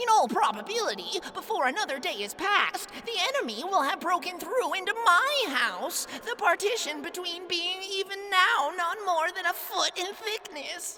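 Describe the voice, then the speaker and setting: An extremely high-pitched, put-on character voice runs on with hardly any pauses over clear background noise. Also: moderate pace. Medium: read story. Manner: formal, deferential, long-winded.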